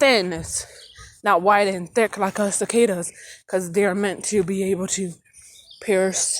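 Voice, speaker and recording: The delivery is fairly slow. Long, frequent pauses break it up. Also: woman, medium pitch for a woman. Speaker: vlogger. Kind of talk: casual vlog monologue. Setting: outdoors, walking. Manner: loud and hyper; rambling, with many fillers.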